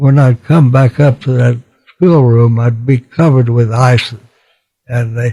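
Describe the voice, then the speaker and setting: A man with an American accent, medium pitch and a dark, mellow tone, somewhat breathy, with fairly even intonation at a moderate pace, in a dry, close sound with no echo. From Texas, USA. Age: 80s+. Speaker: war veteran, former pilot and POW. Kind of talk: interview answer.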